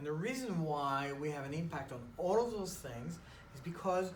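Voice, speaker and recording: A man with a French accent speaks at a moderate pace with ordinary pitch variation, amid noticeable background noise and audible room echo. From France. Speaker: chiropractor. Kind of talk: casual interview.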